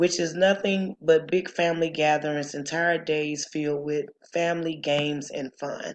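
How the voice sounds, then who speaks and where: Her pitch very deep and low, a woman with a Southern accent speaks with fairly even intonation. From US South. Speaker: student. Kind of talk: class presentation.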